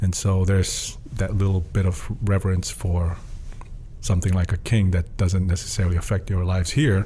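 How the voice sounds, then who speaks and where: A man speaks at a moderate pace with a very deep, low pitch and very even loudness. Noticeable background noise runs behind him. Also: fairly even intonation. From Tonga. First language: Tongan (bilingual with English). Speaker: student leadership program manager. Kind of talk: podcast interview. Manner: hesitant with fillers and restarts.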